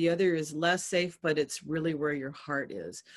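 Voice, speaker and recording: With a quiet background, a woman with an American accent speaks at a moderate pace in a fairly low pitch with ordinary pitch variation. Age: 60s. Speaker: activist scholar. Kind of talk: interview talk. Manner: halting.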